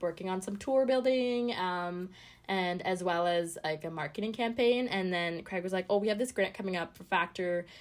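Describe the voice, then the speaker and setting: A woman with a Canadian accent and medium pitch speaks at a fairly quick pace with ordinary pitch variation in an ordinary speaking voice, on a very clean recording with a silent background. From Canada (Ottawa), born in Sri Lanka. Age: 20s. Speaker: musician and arts program coordinator. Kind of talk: casual interview chat. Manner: fast, laughs often.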